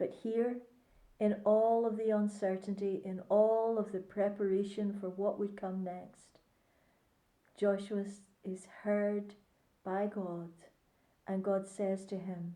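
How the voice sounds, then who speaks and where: A woman with a Northern Irish accent speaks at a very slow pace, with long, frequent pauses. Her medium-pitched voice has a dark, mellow tone and a monotone, flat intonation. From Northern Ireland (Ballycarry, County Antrim). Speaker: church pastor and chaplain. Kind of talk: devotional reflection to camera.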